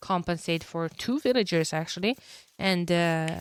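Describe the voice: The sound is dry and close with no echo. A woman with a fairly low pitch and a clear, smooth tone speaks at a fairly slow pace.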